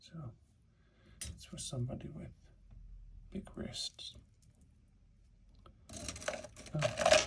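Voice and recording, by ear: Whispered male speech amid noticeable background noise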